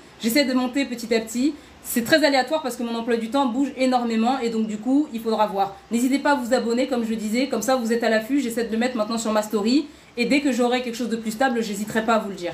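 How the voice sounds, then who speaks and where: A woman's fairly high voice at a very fast pace with fairly even intonation, over noticeable background noise. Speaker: online workshop host. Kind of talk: live stream workshop. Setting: live stream.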